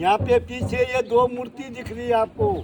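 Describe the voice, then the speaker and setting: A man speaks over noticeable background noise. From Uttarakhand, Jaunsar-Bawar area. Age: 70s. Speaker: temple guide. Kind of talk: guided temple tour narration.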